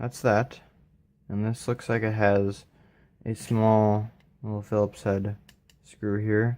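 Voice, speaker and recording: A man mumbling at a very slow pace with fairly low pitch, on a very clean recording with a silent background. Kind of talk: casual teardown tutorial talk. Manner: mumbly.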